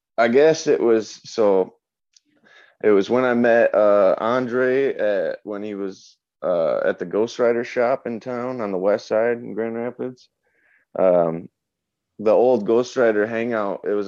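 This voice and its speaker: Against a quiet background, a man with an unremarkable speaking voice talks at a fairly slow pace. His pitch is medium, with ordinary pitch variation. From Michigan, US Midwest. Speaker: moped club founder. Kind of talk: casual chat.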